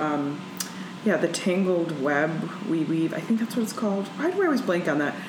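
Noticeable background noise accompanies a woman's speech. Her pitch is fairly low, and her pace is fairly quick. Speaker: comedian. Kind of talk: casual chat.

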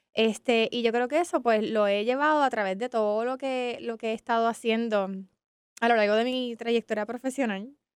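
A woman with a normal speaking voice, fairly high in pitch, talks at a moderate pace with fairly even intonation in a dry, close sound with no echo. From Puerto Rico, San Juan. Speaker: business ecosystem professional. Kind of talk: interview.

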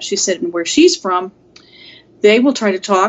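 With a normal speaking voice, a woman talks in an American accent. Her pitch is medium and her intonation lively. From US Pacific Northwest, Seattle. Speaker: mediator. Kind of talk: interview. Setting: call.

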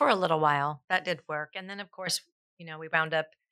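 A woman with a Californian accent, a fairly low pitch, a bright, sharp tone and monotone, flat intonation. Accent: Californian American. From Southern California (South Pasadena). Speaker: fitness trainer and gym owner. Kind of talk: casual interview.

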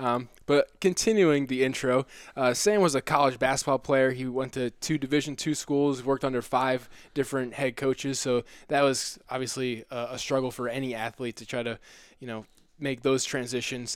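This man has an unremarkable speaking voice, medium in pitch, with fairly even intonation at a moderate pace. The recording is very clean and the background silent. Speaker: podcast host, brain injury survivor. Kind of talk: casual interview.

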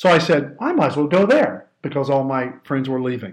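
Speech with lively intonation, delivered in a Midwestern American accent. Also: man. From southern Ohio. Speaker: leadership coach and trainer. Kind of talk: interview.

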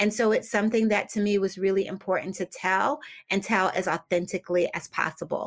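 Using a normal speaking voice, a woman with an American accent talks at a fairly quick pace and medium pitch with fairly even intonation. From US Northeast, Philadelphia. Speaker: novelist, former publicist. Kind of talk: interview.

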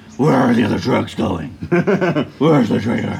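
Against clear background noise, a man in a put-on character voice speaks at a medium pitch and moderate pace with lively intonation. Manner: intimidating.

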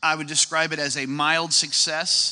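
A man with an American accent speaks at a moderate pace. His tone is bright and sharp. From US Midwest. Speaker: church ministry leader. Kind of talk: testimony. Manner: joking.

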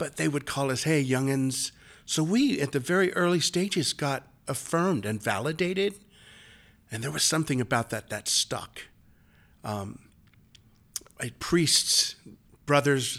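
A man talks at a moderate pace with a fairly high pitch. His intonation is lively, and the recording is very clean with a silent background. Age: 50s. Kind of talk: interview.

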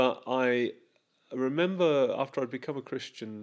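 A normal speaking voice, a man at medium pitch and a fairly slow pace with ordinary pitch variation. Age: 50s. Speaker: church leader. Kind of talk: casual chat.

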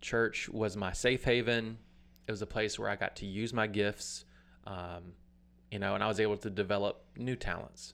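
In a normal speaking voice, a man with an American accent talks at a moderate pace and fairly low pitch with fairly even intonation. The recording is very clean and the background silent. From US South, Alabama. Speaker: worship leader and former youth pastor. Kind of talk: personal testimony.

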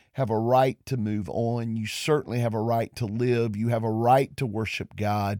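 Here a man speaks with a Southern US accent, at medium pitch with ordinary variation. The recording is very clean and dry, close with no echo, over a silent background. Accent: Southern US (Georgia). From US South, Georgia. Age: 50s. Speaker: pastor. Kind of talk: monologue podcast. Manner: hesitant with many fillers.

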